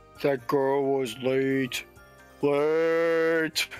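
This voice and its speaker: With clear music in the background, a man performs a put-on character voice at a fairly high pitch in a monotone, flat intonation. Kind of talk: comic overacting. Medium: fan dub. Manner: dopey.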